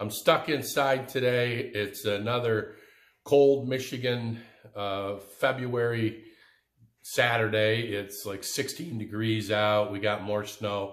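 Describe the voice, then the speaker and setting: A man talks at a very slow pace, with audible room echo around his voice. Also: fairly even intonation. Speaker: DIY woodworking channel host. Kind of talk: casual vlog chat. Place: workshop. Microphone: phone near.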